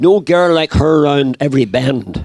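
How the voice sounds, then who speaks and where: A man talks with a Northern Irish accent. The sound is dry and close, with no echo. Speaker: bride's grandfather giving a wedding speech. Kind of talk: wedding speech with poem reading. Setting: wedding reception with audience.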